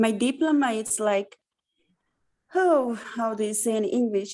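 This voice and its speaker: The speaker has a Hungarian accent and lively intonation. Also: woman. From Hungary. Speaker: lecturer, Romani education specialist. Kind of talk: lecture.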